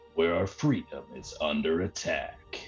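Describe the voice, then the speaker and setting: A man speaks in a put-on character voice at a fairly slow pace, with clear music playing in the background. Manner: dramatic, grave.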